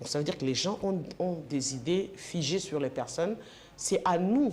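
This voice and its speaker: With noticeable background noise, a woman speaks slowly-ish in a fairly low pitch, her intonation lively. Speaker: sports and political TV presenter. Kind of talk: interview.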